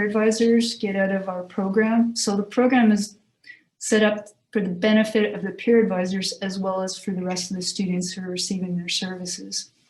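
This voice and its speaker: Her voice somewhat breathy, a woman speaks at medium pitch and a moderate pace with fairly even intonation. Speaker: university career services staff presenter. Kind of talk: presentation at committee meeting.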